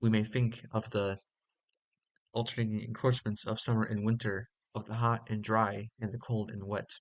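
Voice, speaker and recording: In a monotone, flat intonation, the man talks at a fairly low pitch and a moderate pace. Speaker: audiobook reader and commentator. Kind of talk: reading aloud with commentary; casual explanation. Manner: halting, stumbles on words; hesitant with many fillers.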